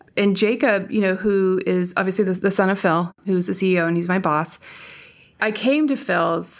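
Speaking with a West Coast American accent, a woman holds a medium pitch at a moderate pace. Her loudness stays very even in a very clean recording with a silent background. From US, San Francisco Bay Area. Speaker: tech executive. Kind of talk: interview.

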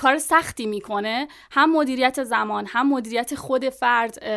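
A woman's high-pitched voice, bright and sharp in tone, with fairly even intonation, in a very clean recording with a silent background. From Iran, Tabas. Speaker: translator and content marketer. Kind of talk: podcast interview.

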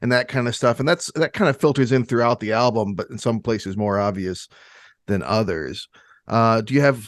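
A man with an American accent and a normal speaking voice talks at a fairly quick pace at medium pitch with ordinary pitch variation, in a dry, close sound with no echo over a quiet background. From Michigan. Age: 40s. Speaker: podcast host. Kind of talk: casual chat.

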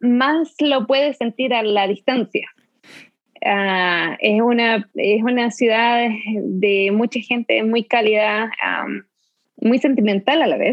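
A woman with a fairly high pitch and ordinary pitch variation speaks at a very slow pace, leaving long, frequent pauses. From Chile, Concepción area (south-central). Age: 30s. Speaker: immigrant interviewee. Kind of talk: interview conversation.

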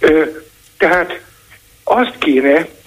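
A man speaks in a fairly high voice with lively intonation. Background noise is noticeable. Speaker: caller. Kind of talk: call-in opinion. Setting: phone call.

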